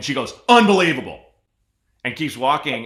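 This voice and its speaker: A man's bright, sharp, animated voice, high in pitch and very fast, in an American accent with audible room echo. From Portland, Oregon. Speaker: podcast host. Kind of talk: casual chat.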